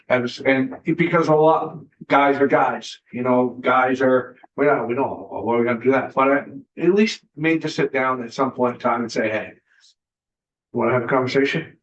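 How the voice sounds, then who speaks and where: In a normal speaking voice, the words come at a moderate pace with ordinary pitch variation. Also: man, medium pitch for a man. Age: 60s. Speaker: state senator. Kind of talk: committee hearing discussion.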